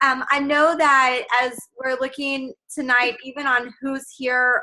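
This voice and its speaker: The raised, projected voice has a bright, sharp tone and fairly even intonation. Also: woman. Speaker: team leader. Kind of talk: team training call. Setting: video call. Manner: loud.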